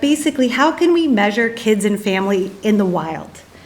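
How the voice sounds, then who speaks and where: A woman with an American accent at a moderate pace, amid audible room echo and noticeable background noise. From United States. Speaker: psychology professor. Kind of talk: conference presentation.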